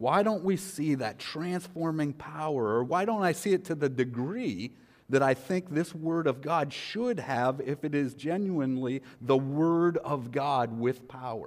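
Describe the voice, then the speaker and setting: With lively intonation, an ordinary speaking voice proceeds fairly slowly. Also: man, fairly high pitch for a man. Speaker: pastor. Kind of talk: sermon. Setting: church.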